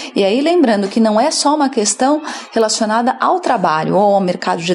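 Over noticeable background noise, a woman with a fairly high pitch speaks at a moderate pace, her loudness very even and her intonation lively. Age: 30s. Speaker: HR consultant. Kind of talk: interview.

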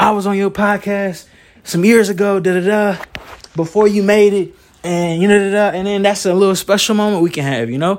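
A man with a Southern US accent and an energetic tone. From North Carolina, Moore County. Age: 20s. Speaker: podcaster and singer. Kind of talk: solo podcast monologue.

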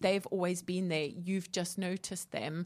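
A woman's unremarkable speaking voice, fairly low in pitch, at a moderate pace with fairly even intonation, in a very clean recording against a silent background. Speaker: co-host and coach. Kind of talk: radio talk show chat. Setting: radio studio with headset.

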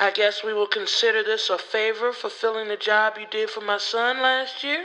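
Putting on a raspy character voice, a woman talks at a moderate pace with fairly high pitch and fairly even intonation. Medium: read story. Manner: curt, grumpy.

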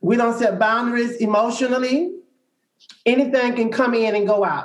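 At a moderate pace, a man speaks with an extremely high pitch, and audible room echo surrounds him. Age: 50s. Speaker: social worker and spiritual coach. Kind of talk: group discussion.

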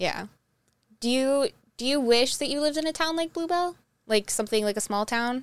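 A high-pitched woman with a Northeast Ohio accent speaks at a fairly quick pace but with long, frequent pauses, on a very clean recording with a silent background. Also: lively intonation. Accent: Midwestern American (Northeast Ohio). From Ohio, Twinsburg near Cleveland. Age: 20s. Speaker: podcast host. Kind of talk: casual chat.

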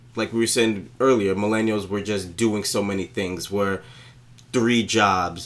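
A man speaks with an American accent in a fairly low pitch and a monotone, flat intonation. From New York, Brooklyn. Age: 20s. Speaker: podcast co-host. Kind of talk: casual chat.

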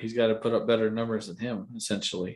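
The recording is very clean, with a silent background. A man speaks at a medium pitch and a moderate pace. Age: 30s. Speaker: sports podcast co-host. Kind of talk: casual chat.

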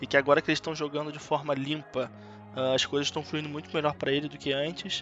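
With music behind him, a man talks in a fairly high voice. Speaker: esports reporter. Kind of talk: casual chat. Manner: talkative.

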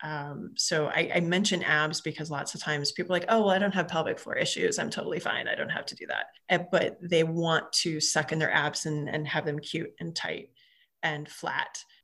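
Speaking at a moderate pace, a woman has an unremarkable speaking voice, fairly low in pitch with fairly even intonation. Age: 40s. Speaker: physical therapist. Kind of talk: casual interview chat.

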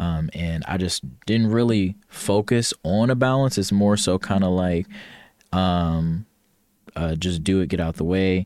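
In a dry, close recording with no echo, a man speaks with an American accent and a very deep, low pitch. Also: ordinary pitch variation, fairly slow pace. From Ohio, US Midwest. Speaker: military service member, club president. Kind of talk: casual interview. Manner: hesitant, many fillers.

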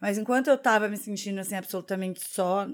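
A woman with a medium-pitched voice is heard on a very clean recording with a silent background. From Curitiba, southern Brazil. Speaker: podcast co-host. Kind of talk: casual chat.

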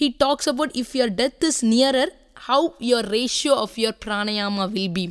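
A woman's fairly high voice at a moderate pace, an unremarkable speaking voice. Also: ordinary pitch variation. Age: 30s. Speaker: yoga teacher. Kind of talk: interview.

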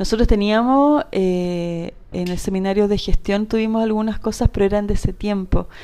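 A woman with a Chilean accent speaks with hardly any pauses, using a dark, mellow tone and ordinary pitch variation. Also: medium pitch for a woman, moderate pace. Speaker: industrial designer and entrepreneur. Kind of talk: casual interview.

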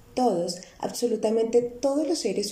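The room's echo is audible. A woman is the one talking. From Colombia, Bogotá. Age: 30s. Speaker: financial coach. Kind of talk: podcast monologue.

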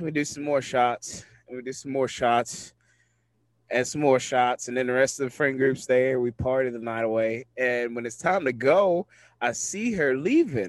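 A man's medium-pitched voice, an ordinary speaking voice, with ordinary pitch variation at a moderate pace. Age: 20s. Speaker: podcast host. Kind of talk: casual chat.

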